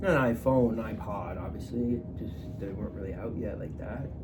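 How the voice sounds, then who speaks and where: A man's medium-pitched voice at a fairly quick pace, with noticeable background noise and audible room echo. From Atlantic Canada (Newfoundland, Nova Scotia). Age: 20s. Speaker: vlogger. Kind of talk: casual personal monologue. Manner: halting, with many fillers and restarts.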